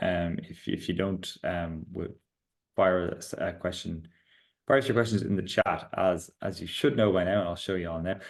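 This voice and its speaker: A man speaks in a very deep, low pitch. His pitch moves in an ordinary way. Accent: strong Irish. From Ireland. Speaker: startup founder and CEO presenting product updates. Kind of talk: product webinar with Q&A. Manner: fast.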